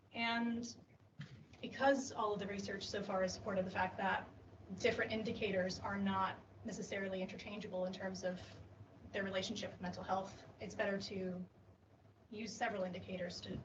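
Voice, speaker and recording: A woman with an American accent speaks in monotone, flat intonation with long, frequent pauses. Noticeable background noise and audible room echo fill the recording. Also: medium pitch for a woman, fairly quick pace. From US Midwest, Illinois. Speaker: PhD researcher. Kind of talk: conference poster presentation. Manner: frequent fillers (um, uh).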